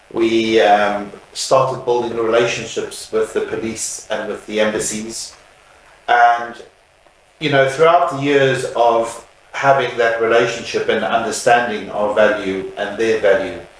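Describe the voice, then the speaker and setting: Noticeable background noise and audible room echo surround the voice. A man talks at a fairly slow pace. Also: medium pitch for a man, ordinary pitch variation. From South Africa. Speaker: funeral services business owner. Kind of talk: interview. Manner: hesitant, many fillers.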